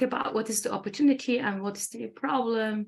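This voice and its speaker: Somewhat breathy, a woman with a Turkish accent speaks at a fairly high pitch. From Turkey. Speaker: engineer and academy founder. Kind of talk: interview. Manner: halting, many fillers.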